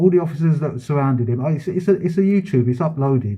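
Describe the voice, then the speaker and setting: The voice is somewhat breathy. Its pitch varies in an ordinary way. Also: man. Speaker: vlogger filming a complaint at a police station. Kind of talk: heated complaint at a police front desk. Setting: police station front office. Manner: fast.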